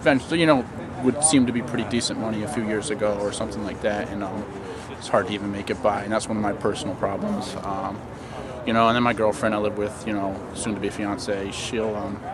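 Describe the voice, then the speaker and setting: Noticeable background noise and audible room echo surround a man talking at a very fast pace. His voice is fairly low, with fairly even intonation. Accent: Maine. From Maine. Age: 20s. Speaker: protester. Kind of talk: street interview. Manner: halting.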